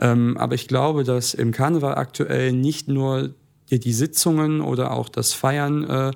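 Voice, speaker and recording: A man speaks in an unremarkable speaking voice at a moderate pace. His intonation stays fairly even. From Essen, Ruhr area, Germany. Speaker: carnival club president, student. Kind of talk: casual interview.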